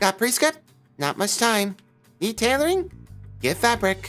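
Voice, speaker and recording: Doing a put-on character voice, a man speaks at a moderate pace in a high pitch with very wide pitch swings, while faint music plays in the background. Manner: clipped, curt.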